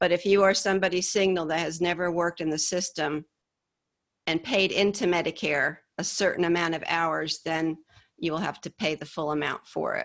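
A woman's ordinary speaking voice, fairly low-pitched, with an American accent, a fairly quick pace and fairly even intonation. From upstate New York. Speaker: Medicare insurance specialist. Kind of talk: interview.

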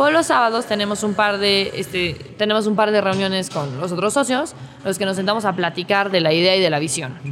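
Music plays behind a woman who talks fairly quickly with lively intonation in a Mexico City accent. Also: medium pitch for a woman. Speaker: startup employee. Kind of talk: interview testimony. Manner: formal.

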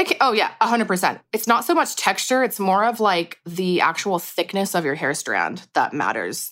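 At a moderate pace and with ordinary pitch variation, a woman talks in a plain, everyday voice. Her recording is very clean and the background is silent. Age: 30s. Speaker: hair colorist. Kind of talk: interview. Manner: casual, many filler words.

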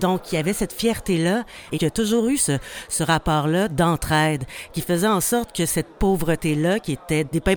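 Here is a normal speaking voice at a moderate pace. Its pitch varies in an ordinary way. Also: woman. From Hochelaga-Maisonneuve, Montreal. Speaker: actress and festival director. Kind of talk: interview testimony.

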